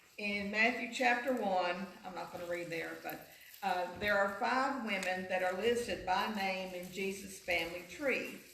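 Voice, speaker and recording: A woman's speech carries noticeable background noise along with audible room echo. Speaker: teacher giving a Mother's Day talk at church. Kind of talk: church talk. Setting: church. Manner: loud, projected teacher voice.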